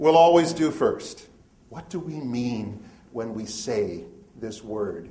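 A man speaks with lively intonation in a space with audible room echo. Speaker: magazine editor leading a seminar. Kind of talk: seminar talk with audience. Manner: loud.

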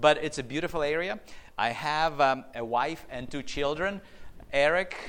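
Audible room echo around a medium-pitched male voice. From Ukraine (Chernivtsi region). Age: 50s. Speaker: beekeeper giving a talk. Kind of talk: lecture.

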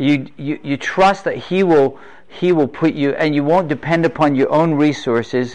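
Speaking at a fairly slow pace, a man talks with an English accent. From England. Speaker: preacher. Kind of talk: sermon. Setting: stage with audience. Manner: animated.

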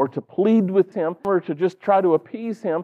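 With a Southern US accent, a man talks at a moderate pace, his pitch high and its variation ordinary. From North Carolina. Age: 40s. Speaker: pastor. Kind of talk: sermon.

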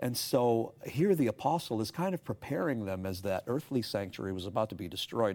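A man talks at a very fast pace with lively intonation. His pitch sits fairly low. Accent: Canadian. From Canada, Toronto. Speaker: pastor and seminar speaker. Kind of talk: religious discussion.

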